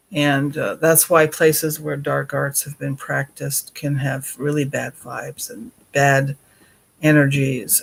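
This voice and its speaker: Speaking at a fairly slow pace, a man uses a fairly high pitch and fairly even intonation in a somewhat breathy voice. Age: 60s. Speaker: paranormal video creator. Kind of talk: casual monologue. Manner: hesitant, many fillers.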